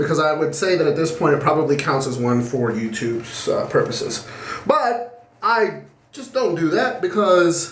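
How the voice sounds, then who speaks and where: A man speaks loudly at a moderate pace, his fairly high pitch swinging very widely, with audible echo in the room. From Puerto Rican heritage. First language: Spanish. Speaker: shaving video creator. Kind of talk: casual vlog monologue.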